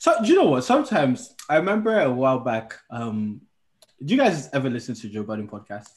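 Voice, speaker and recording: A man talks at a fairly quick pace. His pitch swings very widely and his loudness shifts in big swings. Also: medium pitch for a man. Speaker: podcast co-host. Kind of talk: casual chat.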